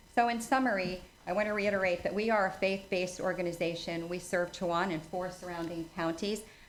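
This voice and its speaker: Heard with audible room echo, the voice keeps a monotone, flat intonation. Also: woman. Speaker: charity volunteer presenter. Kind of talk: presentation to town council. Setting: council meeting.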